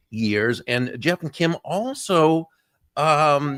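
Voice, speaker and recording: The recording of a man is very clean, with a silent background and a dry, close sound with no echo. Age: 60s. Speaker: talk show host. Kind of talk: guest introduction; casual chat.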